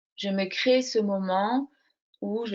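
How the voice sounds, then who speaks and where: A soft-spoken woman at medium pitch with fairly even intonation. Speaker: crochet workshop leader. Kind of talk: interview. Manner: hesitant, many fillers; slow, soft.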